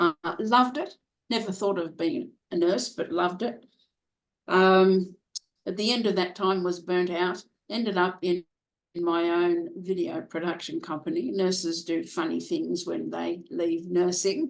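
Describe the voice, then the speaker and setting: In a normal speaking voice, a woman of medium pitch talks at a fairly slow pace with ordinary pitch variation. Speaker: professional speaker. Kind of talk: interview answer.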